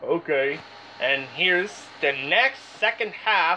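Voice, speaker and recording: Speech comes at a very slow pace over light background noise. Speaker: hobbyist imitating a game show host. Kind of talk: mock game show hosting, reading out bids and calling contestants on stage. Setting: home recording playing an electronic toy game. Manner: brisk, repetitive announcer-style calling, echoing each bid twice; enthusiastic, exclamatory when announcing winners. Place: home room. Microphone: phone near.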